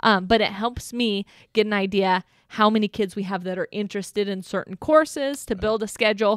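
A woman's fairly quick speech with ordinary pitch variation, in a very clean recording with a silent background and a dry, close sound with no echo. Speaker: high school counselor. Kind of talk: casual chat.

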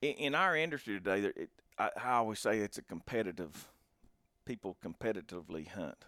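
A man with a fairly low pitch talks at a fairly quick pace with very wide pitch swings, in a very clean, dry, close recording with no echo and a silent background. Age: 40s. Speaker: hunting podcast host. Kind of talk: casual chat.

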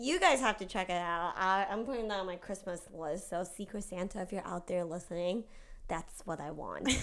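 Using a plain, everyday voice, a woman speaks at a medium pitch and a moderate pace with ordinary pitch variation. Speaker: podcast co-host. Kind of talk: casual chat.

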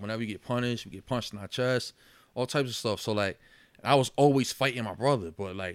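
A very fast American accent with fairly even intonation, on a very clean recording with a silent background. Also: man. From Yonkers, New York. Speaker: boxer and mental health advocate. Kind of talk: casual chat.

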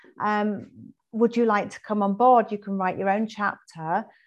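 A woman with an English accent speaks at a medium pitch and moderate pace, with fairly even intonation, over a quiet background. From England. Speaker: holistic health coach and author. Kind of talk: interview.

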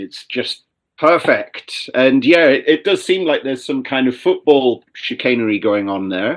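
Here is a normal speaking voice from a man at medium pitch, with lively intonation. He moves at a moderate pace with big swings in loudness. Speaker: podcast co-host. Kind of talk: casual chat.

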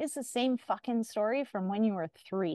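Lively intonation carries a woman's Canadian accent at a fairly quick pace. The sound is dry and close with no echo, over a quiet background. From Canada. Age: 40s. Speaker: podcast host, yoga and mindfulness enthusiast. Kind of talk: casual chat.

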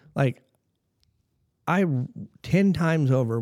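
A man's dark, mellow voice comes through in a very clean recording with a silent background. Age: 30s. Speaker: monster truck driver. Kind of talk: casual chat.

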